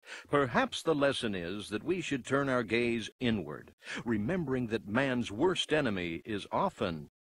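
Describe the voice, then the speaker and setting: The voice moves through very wide pitch swings at a fairly slow pace, recorded with a dry sound and no echo. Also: man. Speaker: TV host narrator. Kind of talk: dramatic closing narration. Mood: grave, reflective. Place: studio.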